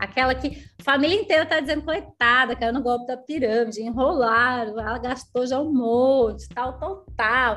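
High female voice, pitch varying in an ordinary way. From southern Brazil, Rio Grande do Sul (Canela/Gramado). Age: 30s. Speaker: network marketing leader. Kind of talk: casual interview chat, storytelling. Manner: animated.

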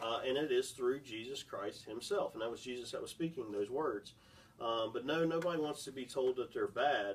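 With noticeable background noise behind him, a man talks at a moderate pace, his medium pitch showing ordinary variation. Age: 20s. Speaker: former youth pastor, podcast host. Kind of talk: casual Bible discussion.

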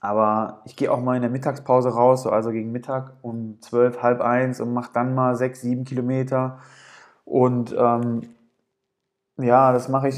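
Against a quiet background, a man talks at a moderate pace and medium pitch with monotone, flat intonation. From Ruhr area, Germany (Gelsenkirchen). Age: 30s. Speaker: amateur runner podcaster. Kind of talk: solo podcast monologue. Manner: hesitant, many filler sounds.

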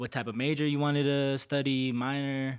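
A man speaking at a fairly quick pace, in a very clean recording with a silent background. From Colorado. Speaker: legislative aide. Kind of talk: casual chat.

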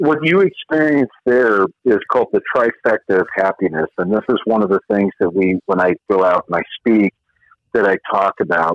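A normal speaking voice at a moderate pace, with lively intonation and very even loudness. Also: man, fairly low pitch for a man. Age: 50s. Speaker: former special forces soldier and author. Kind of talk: casual interview.

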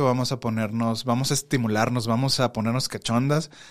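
Fairly quick male speech pitched in the medium range. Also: very clean recording, silent background. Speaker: podcast host. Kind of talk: casual chat. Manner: animated.

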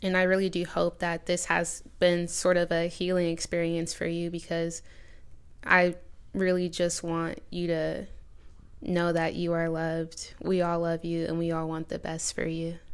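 Her pitch is fairly low, and the speaker is a woman. She talks at a fairly slow pace in a monotone, flat way. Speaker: podcast host. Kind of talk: interview with her grandmother on a serious topic.

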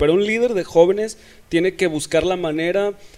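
A man talks at a moderate pace with lively intonation. His is a plain, everyday voice. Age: 20s. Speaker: church youth leader. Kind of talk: casual interview.

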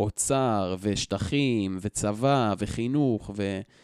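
An ordinary speaking voice from a man, fairly low-pitched with fairly even intonation, dry and close with no echo, on a very clean recording with a silent background. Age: 20s. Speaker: educator, target of online shaming. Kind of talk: interview storytelling.

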